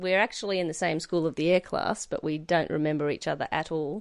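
With an Australian accent and a very deep, low pitch, a woman talks at a very fast pace and with fairly even intonation over a quiet background. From central Queensland, Australia. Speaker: cattle producer. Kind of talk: interview. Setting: on a cattle station.

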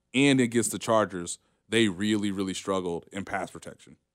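The recording is very clean, with a silent background. A man talks at a moderate pace with ordinary pitch variation. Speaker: sports journalist. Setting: live radio studio. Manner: conversational, thoughtful, hedging with ums and laughs.

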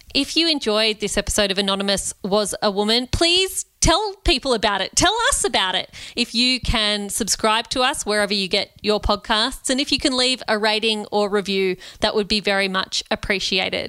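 An Australian-accented woman speaks at a moderate pace in a fairly high, bright, sharp voice, with ordinary pitch variation, hardly any pauses and very even loudness. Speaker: podcast co-host. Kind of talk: interview; scripted outro.

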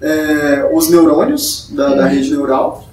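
A man with lively intonation, with audible room echo and noticeable background noise. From Brazil, Maranhão. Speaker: machine learning consultant and researcher. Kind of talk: podcast interview. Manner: hesitant, many fillers.

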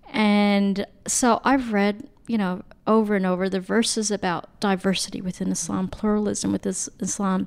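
With an American accent and fairly even intonation, this is a normal speaking voice. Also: woman. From United States. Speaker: academic and humanitarian. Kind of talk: casual chat.

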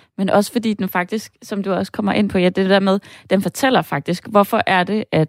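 A woman with a normal speaking voice and medium pitch talks at a moderate pace, captured with a dry, close sound, no echo, and a very clean recording with a silent background. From northern Jutland, Denmark. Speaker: screenwriter. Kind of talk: casual chat.

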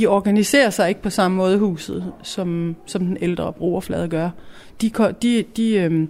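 In an unremarkable speaking voice, a woman talks at a medium pitch with fairly even intonation. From Denmark, provincial town. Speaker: youth culture house staff member. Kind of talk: radio interview.

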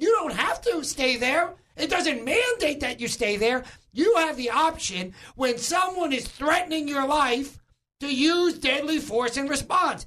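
An animated, raised and projected voice with a bright, sharp tone, an American accent and a fairly slow pace. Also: man, extremely high pitch for a man. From New York. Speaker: political commentator. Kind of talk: talk radio discussion. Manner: animated, emphatic.

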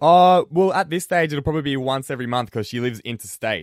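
With an Australian accent and lively intonation, a man talks at a fairly quick pace and a fairly high pitch, in a very clean recording with a silent background and a dry, close sound with no echo. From Australia, central west New South Wales. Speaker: radio host. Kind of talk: radio talk show. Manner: casual.

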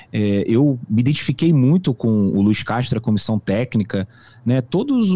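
The man's tone is dark and mellow, and somewhat breathy. His intonation is lively. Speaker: football fan commentator. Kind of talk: casual sports discussion.

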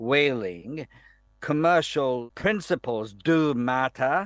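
Very slowly, a man with a Japanese accent speaks in a fairly high pitch with lively intonation. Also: dry, close sound with no echo. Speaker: professor and foreign policy specialist. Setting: remote link from Tokyo. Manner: halting, hesitant, with fillers.

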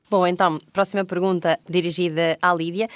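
The recording is very clean with a silent background and a dry, close sound with no echo, as a woman with a fairly low pitch speaks in a monotone, flat way. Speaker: podcast co-host. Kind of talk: moderated panel discussion. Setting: recorded on location at parliament.

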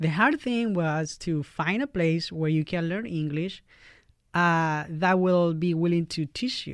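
A man with a Chilean accent, high-pitched with ordinary pitch variation, at a fairly slow pace over a quiet background. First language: Spanish. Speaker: YMCA community worker. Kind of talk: interview. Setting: studio.

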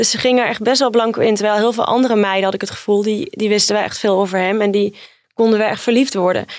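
Very fast in pace, a woman speaks with fairly even intonation at a fairly high pitch. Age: 30s. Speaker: journalist, reality TV expert. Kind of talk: casual chat.

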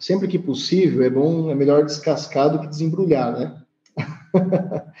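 A man talks with a fairly high pitch. His voice is somewhat breathy. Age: 30s. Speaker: food company CEO. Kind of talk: interview.

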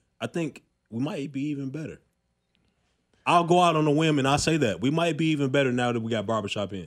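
Talking at a very fast pace with long, frequent pauses, a man uses lively intonation at a fairly high pitch. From Chicago. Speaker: former NFL linebacker, sports podcast co-host. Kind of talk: casual sports talk chat. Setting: studio.

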